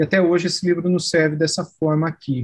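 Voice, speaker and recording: Speaking at a moderate pace, a man uses a plain, everyday voice that sits fairly high. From Brazil, São Paulo state (Araraquara). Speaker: pastor and seminary professor. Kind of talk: interview conversation.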